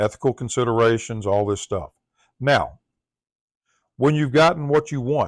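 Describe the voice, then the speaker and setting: Taking long, frequent pauses, a man with a Southern US accent speaks at medium pitch with ordinary variation on a very clean recording with a silent background. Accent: Southern US accent, drawl. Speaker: tech tutorial presenter. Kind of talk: tutorial.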